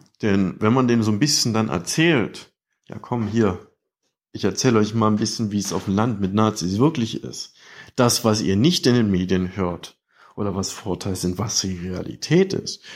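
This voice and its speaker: A man with a fairly low pitch speaks at a moderate pace, with ordinary pitch variation. He has an ordinary speaking voice, and the recording is very clean with a silent background. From eastern Saxony. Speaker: listener voicemail caller. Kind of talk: recorded listener message.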